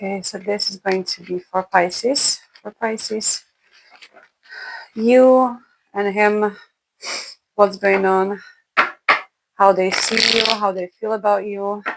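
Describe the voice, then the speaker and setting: A woman with a non-native accent speaks at a very slow pace with long, frequent pauses. Her medium-pitched voice has monotone, flat intonation and big swings in loudness. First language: not English. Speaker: tarot reader. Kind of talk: tarot reading.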